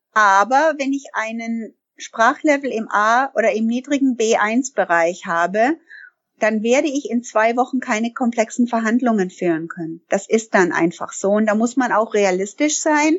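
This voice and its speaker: In an English accent, a woman speaks slowly-ish, at a fairly slow pace, with lively intonation. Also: fairly high pitch for a woman. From Canada. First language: English (speaking German). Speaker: language trainer and business owner. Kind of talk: interview. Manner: frequent hesitations (ähm).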